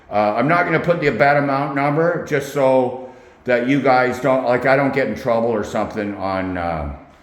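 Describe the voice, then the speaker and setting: Amid audible room echo, a man of medium pitch talks at a moderate pace with ordinary pitch variation. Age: 60s. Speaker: UFC betting predictions youtuber. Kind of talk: casual vlog talk to camera. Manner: rambling, filler-heavy.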